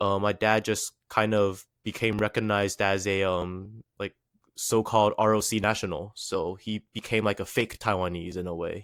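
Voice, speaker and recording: A man with a slight Chinese accent talks at a moderate pace and a fairly low pitch, with monotone, flat intonation. The recording is very clean, with a silent background. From USA. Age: 20s. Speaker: rapper. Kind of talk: podcast interview.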